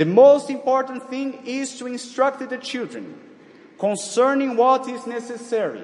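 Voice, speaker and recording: A man with an extremely high pitch speaks fairly slowly, his loudness swinging widely over noticeable background noise. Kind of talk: sermon. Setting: church. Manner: formal.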